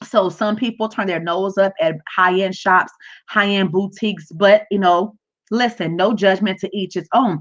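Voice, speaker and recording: A woman with a plain, everyday voice speaks at a medium pitch and a moderate pace. The background is quiet. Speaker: business coach livestreamer. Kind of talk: live stream tutorial. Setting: livestream from home.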